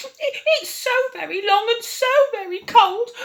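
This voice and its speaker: This put-on character voice is squeaky and extremely high-pitched, delivered at a moderate pace. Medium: read story.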